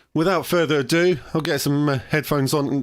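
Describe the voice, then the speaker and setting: With a British accent, a man with fairly high pitch and fairly even intonation is heard in a very clean recording with a silent background. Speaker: ham radio operator and video host. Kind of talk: live stream chat. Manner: hesitant, many fillers.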